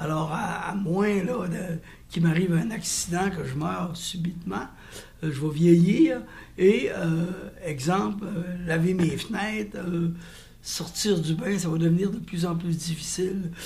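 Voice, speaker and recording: Audible room echo surrounds a man speaking very slowly in a high voice with ordinary pitch variation. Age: 70s. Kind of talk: interview testimony. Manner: halting.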